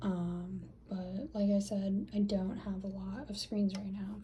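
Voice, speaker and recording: A woman speaks at a very slow pace with noticeable background noise. Audible room echo surrounds her voice. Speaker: small fashion business owner. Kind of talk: casual vlog narration. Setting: home bathroom. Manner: casual, filler-heavy.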